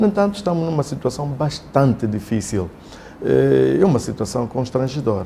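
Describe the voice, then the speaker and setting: Over noticeable background noise, a man at medium pitch talks at a moderate pace, his pitch swinging very widely. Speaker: opposition party leader. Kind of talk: interview. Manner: formal.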